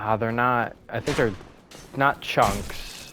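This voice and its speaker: Against noticeable background noise, a man speaks at a very slow pace and medium pitch. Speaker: gaming streamer. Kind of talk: gameplay commentary. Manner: energized, louder than usual; casual, rambling with fillers.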